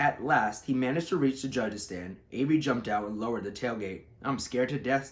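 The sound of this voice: The voice reads in an unforced way. Pitch variation stays ordinary.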